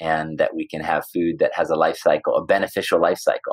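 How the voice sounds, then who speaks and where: Here a man speaks at a fairly quick pace. The sound is dry and close, with no echo. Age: 40s. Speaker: environmental activist and entrepreneur. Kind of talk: interview.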